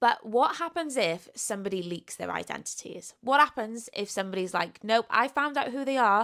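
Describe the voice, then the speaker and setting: In a Welsh accent, the speaker's bright, sharp, animated voice runs at a moderate pace with lively intonation and hardly any pauses, on a very clean recording with a silent background. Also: woman, fairly high pitch for a woman. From Wales. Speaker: book youtuber. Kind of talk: casual book review talk. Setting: seated at home recording with microphone.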